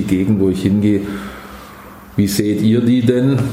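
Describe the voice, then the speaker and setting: Fairly low-pitched male voice at a moderate pace, with audible room echo and noticeable background noise. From Swabia, Stuttgart. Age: 50s. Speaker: company founder. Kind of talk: interview.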